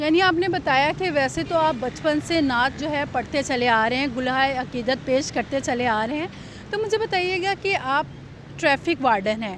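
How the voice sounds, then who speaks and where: A woman's high voice with lively intonation, over noticeable background noise. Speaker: interviewer. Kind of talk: interview questions.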